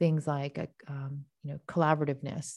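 In a Canadian accent, a woman with a dark, mellow tone speaks at a moderate pace on a very clean recording with a silent background. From Canada, Toronto area (moved from Japan as a child). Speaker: company founder and CEO, medical illustrator. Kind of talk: interview.

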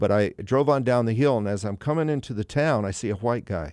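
A man with a fairly low pitch and lively intonation at a fairly quick pace, in a very clean recording with a silent background. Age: 60s. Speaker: pastor. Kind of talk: testimony. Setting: studio. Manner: halting.

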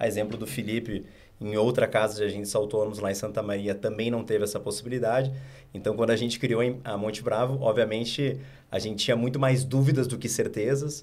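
This man, with a southern Brazilian accent and a medium pitch, talks at a fairly quick pace with fairly even intonation over audible room echo. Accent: southern Brazilian (gaúcho) Portuguese. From Rio Grande do Sul, Porto Alegre. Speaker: investment firm co-founder. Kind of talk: interview.

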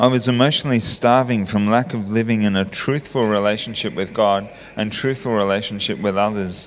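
A man speaks at a fairly quick pace with an Australian accent. His pitch is fairly low and his intonation fairly even. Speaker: church member sharing testimony. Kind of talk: testimony. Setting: church.

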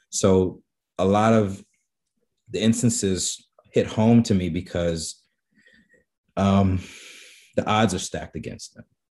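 A man with an American accent and a fairly low pitch, very slow with long, frequent pauses, big swings in loudness, and fairly even intonation. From New York, the Bronx. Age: 40s. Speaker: photographer. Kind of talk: interview. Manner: halting.

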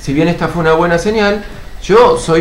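Ordinary pitch variation, with noticeable background noise and audible room echo. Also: man. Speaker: podcast co-host. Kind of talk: casual chat.

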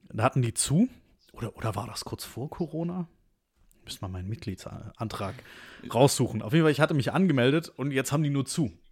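A man talks at a medium pitch and a fairly quick pace, with long, frequent pauses and lively intonation. His voice is somewhat breathy on a very clean recording with a silent background. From Stuttgart, Swabia, Germany. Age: 20s. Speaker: podcast co-host. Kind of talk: casual chat.

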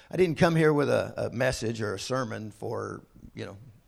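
Here a man talks at a medium pitch with lively intonation. Vocal fry is present. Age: 60s. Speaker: visiting bishop preaching. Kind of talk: sermon. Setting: church service with congregation.

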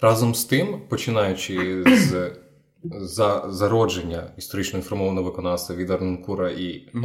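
With a very deep, low voice, a man speaks at a moderate pace, somewhat breathy, with ordinary pitch variation. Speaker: radio host and interviewer. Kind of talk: interview.

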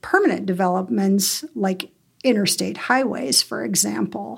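A woman's voice at a fairly slow pace. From Montana, US (Bozeman). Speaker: wildlife biologist. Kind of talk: interview.

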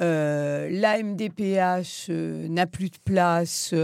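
Fairly low pitch from a woman, with ordinary pitch variation. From France, provincial suburb. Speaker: primary school teacher. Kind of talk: discussion.

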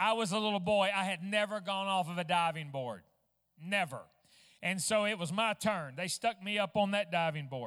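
With a bright, sharp tone and a high pitch, a man with an Arkansas accent speaks at a moderate pace with ordinary pitch variation in a very clean recording with a silent background. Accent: Southern US (Arkansas). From US South, Fort Smith, Arkansas. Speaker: traveling Pentecostal minister. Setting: church service with congregation. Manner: fervent, rising intensity with emphatic repetition.

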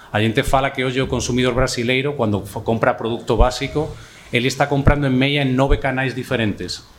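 The man talks at a fairly quick pace over noticeable background noise. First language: Spanish (speaking Portuguese). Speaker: market research executive. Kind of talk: panel discussion.

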